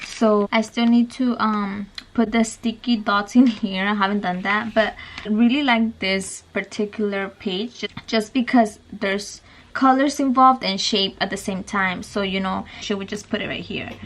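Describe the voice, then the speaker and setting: The voice is somewhat breathy. Its intonation is fairly even. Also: woman, fairly high pitch for a woman, moderate pace. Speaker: mommy vlogger. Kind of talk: casual tutorial vlog.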